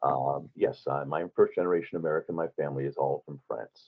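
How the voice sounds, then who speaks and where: The speaker is a man with a New York accent. He talks at a moderate pace. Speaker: recruiting expert. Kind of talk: interview. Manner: halting, many fillers.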